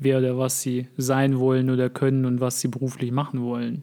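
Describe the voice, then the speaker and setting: The tone is dark and mellow, and the pace is fairly quick. The recording is very clean with a silent background. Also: man. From Germany (moved from Russia aged five). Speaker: podcast co-host. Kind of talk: casual chat.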